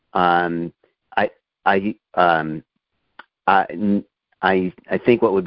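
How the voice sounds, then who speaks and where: A man talks in a very deep, low pitch. He has an American accent. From US South. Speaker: teacher, caller. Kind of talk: casual chat. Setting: phone call. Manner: halting, many fillers.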